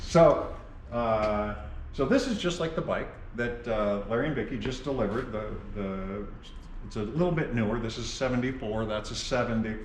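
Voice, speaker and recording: Moderately paced male speech amid noticeable background noise and audible room echo. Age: 70s. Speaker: vintage motorcycle restorer and dealer. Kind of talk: casual chat.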